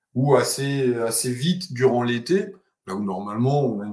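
Somewhat breathy, a man speaks in a medium pitch. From Alsace, France. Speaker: climatologist and university lecturer. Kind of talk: interview. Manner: hesitant with repetitions and fillers.

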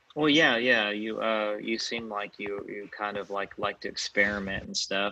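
A man with a fairly low pitch keeps his intonation fairly even as noticeable background noise runs beneath him. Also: moderate pace. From Fort Worth, Texas. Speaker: podcast host. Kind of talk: casual interview. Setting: video call. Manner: halting, many fillers.

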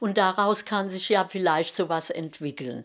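On a very clean recording with a silent background, a woman speaks in a strong Hessian accent. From Rhein-Main area, Germany. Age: 70s. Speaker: mother of podcaster. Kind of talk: casual chat. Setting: at home.

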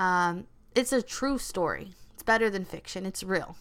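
In a Californian accent, the speaker talks at a moderate pace with ordinary pitch variation, on a very clean recording with a silent background. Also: woman. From Los Angeles, California. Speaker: podcast host. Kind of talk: casual solo podcast monologue.

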